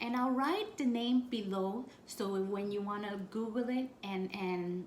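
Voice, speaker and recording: Audible room echo colors this recording, and noticeable background noise runs through it as well. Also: woman. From Puerto Rico. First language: Spanish. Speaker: spiritual practice vlogger. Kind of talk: tutorial. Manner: casual, with frequent fillers.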